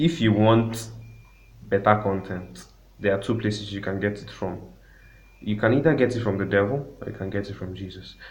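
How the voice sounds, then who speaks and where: A man speaks at a fairly low pitch, somewhat breathy, with long, frequent pauses. Audible room echo surrounds his voice. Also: ordinary pitch variation, moderate pace, big swings in loudness. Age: 20s. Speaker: music producer. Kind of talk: casual interview.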